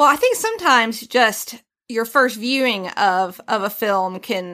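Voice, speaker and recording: A woman speaks in an animated way with a Southern US accent, her tone bright and sharp. The recording is very clean, with a silent background. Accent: country, Southern US. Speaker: host's wife, guest co-host. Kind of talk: casual chat.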